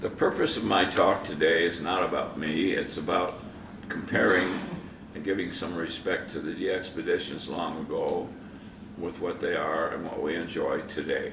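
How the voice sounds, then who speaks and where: Against noticeable background noise, a man keeps to a moderate pace. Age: 80s+; old. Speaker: amateur radio operator. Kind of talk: conference presentation.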